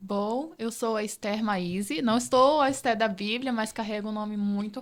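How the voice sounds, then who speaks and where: An unremarkable speaking voice with ordinary pitch variation, delivered at a fairly slow pace. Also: woman. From Rondônia, Brazil. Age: 20s. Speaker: entrepreneur, podcast guest. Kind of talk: interview.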